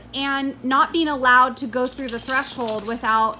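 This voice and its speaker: There is noticeable background noise as a woman speaks in an animated tone at a moderate pace. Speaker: dog trainer. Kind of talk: tutorial commentary over training footage. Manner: loud.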